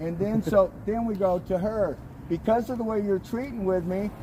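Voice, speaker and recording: A man speaks loud and high-pitched at a moderate pace, with ordinary pitch variation. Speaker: pro-life street activist livestreamer. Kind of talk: explaining an incident to police. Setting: outdoors on a sidewalk.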